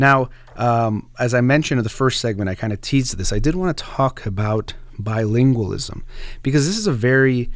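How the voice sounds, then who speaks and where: A man with an American accent speaks in an ordinary speaking voice, at a medium pitch with ordinary pitch variation. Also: fairly quick pace. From United States. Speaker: radio host. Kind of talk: radio book discussion monologue.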